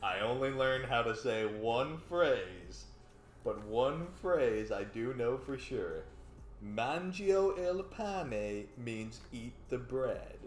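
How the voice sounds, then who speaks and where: A man with an American accent speaks at a very slow pace and a medium pitch, with lively intonation. Audible room echo and noticeable background noise fill the recording. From Texas. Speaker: game show contestant. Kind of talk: casual chat.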